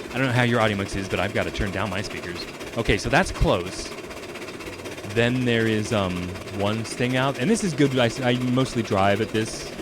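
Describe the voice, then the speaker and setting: Noticeable background noise sits behind a man speaking at a moderate pace. His pitch variation is ordinary. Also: medium pitch for a man. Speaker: game streamer. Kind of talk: live gameplay commentary. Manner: casual, halting with fillers.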